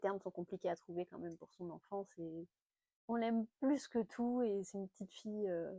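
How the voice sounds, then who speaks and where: Her loudness swings widely while she speaks at a moderate pace, her medium-pitched voice showing ordinary pitch variation. The woman is recorded with a dry, close sound and no echo. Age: 30s. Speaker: lifestyle vlogger. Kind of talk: casual chat. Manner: hesitant, many fillers.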